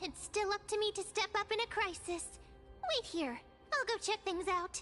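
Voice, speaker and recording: Over clear background music, a put-on character voice at an extremely high pitch chatters at a moderate pace in a cheerful, bubbly tone. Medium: video game.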